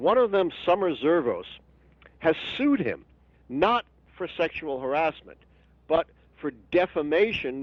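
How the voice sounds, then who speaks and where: Speaking at a moderate pace with an American accent, a man uses very wide pitch swings. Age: 70s. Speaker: history professor and author. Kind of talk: interview.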